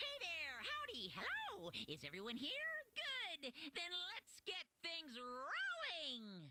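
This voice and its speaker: A high-pitched, put-on character voice with a cheerful, theatrical tone at a fairly slow pace. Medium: game stream. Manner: carefree, cheerful, theatrical.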